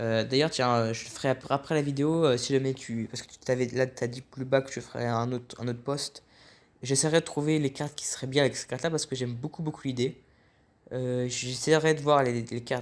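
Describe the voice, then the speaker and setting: This voice moves at a fairly quick pace. Its intonation stays monotone and flat. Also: man. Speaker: card game reviewer. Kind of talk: casual commentary. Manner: fast; halting.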